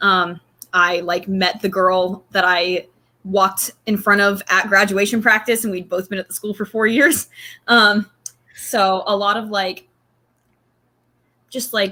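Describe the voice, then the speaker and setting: A woman's medium-pitched, bright, sharp voice with a slight Southern US accent, fairly slow and fairly even in intonation, with long, frequent pauses. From North Carolina, US South (Cary area). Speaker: college student, reality game contestant. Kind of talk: interview.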